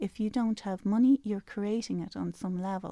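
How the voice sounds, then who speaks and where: A dark, mellow tone in a Dublin accent, ordinary pitch variation, on a very clean recording with a silent background. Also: woman, dry, close sound with no echo. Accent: Dublin Irish. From Ireland, Dublin. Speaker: spiritual life coach and author. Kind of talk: radio interview. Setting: radio studio.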